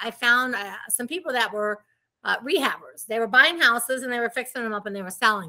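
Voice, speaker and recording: Recorded very cleanly against a silent background, a woman speaks with an animated, bright and sharp tone at a fairly high pitch. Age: 60s. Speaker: real estate investor. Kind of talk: interview.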